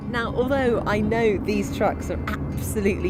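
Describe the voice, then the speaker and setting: A woman talks at a moderate speed while music plays in the background. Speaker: TV presenter. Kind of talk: TV documentary presenting to camera. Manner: upbeat, enthusiastic.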